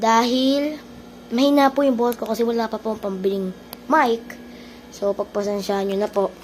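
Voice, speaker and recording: Soft-spoken woman, fairly high in pitch, with ordinary pitch variation and a moderate pace, against noticeable background noise. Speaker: gaming streamer. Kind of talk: gameplay commentary. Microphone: no external mic, quiet audio.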